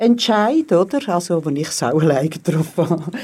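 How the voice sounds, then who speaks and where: A woman speaks in a dark, mellow tone at a medium pitch. Her moderate pace sits in a very clean recording with a silent background. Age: 60s. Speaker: teacher. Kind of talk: interview.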